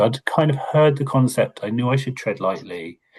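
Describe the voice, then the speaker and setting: A man's somewhat breathy voice with a Hertfordshire accent. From Hertfordshire, England. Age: middle-aged. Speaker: learning and development lead. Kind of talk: webinar conversation.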